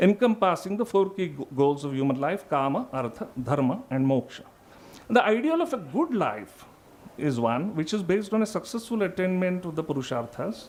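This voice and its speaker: With a non-native accent, a man speaks at a moderate pace. His high pitch makes very wide swings. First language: not English. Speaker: philosophy scholar presenting a paper. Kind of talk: academic conference talk. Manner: halting, with self-corrections.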